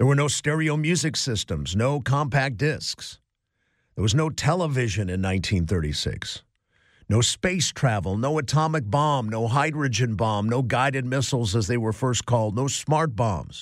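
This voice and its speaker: A man with an American accent talks at a moderate pace and medium pitch, in a normal speaking voice with lively intonation. The recording is very clean, with a silent background. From US Midwest, Cleveland. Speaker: radio host. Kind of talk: talk radio. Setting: studio.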